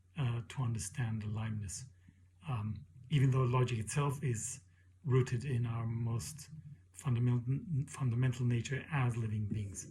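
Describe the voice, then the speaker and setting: A somewhat breathy man's voice of medium pitch, dark and mellow in tone, broken by long, frequent pauses. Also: fairly even intonation, moderate pace. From Mexico. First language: Spanish. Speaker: PhD student and leadership educator. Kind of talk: self-introduction for a class. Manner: hesitant, with many fillers.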